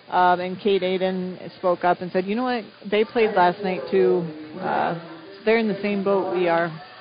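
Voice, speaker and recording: There is noticeable background noise. A woman speaks with a monotone, flat intonation. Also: medium pitch for a woman, moderate pace. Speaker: girls basketball head coach. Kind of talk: post-game interview.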